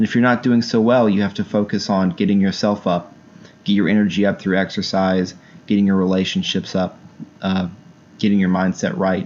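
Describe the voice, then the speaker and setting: A man at a fairly low pitch and fairly quick pace. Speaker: book reviewer and self-help channel host. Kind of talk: book review monologue. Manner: animated.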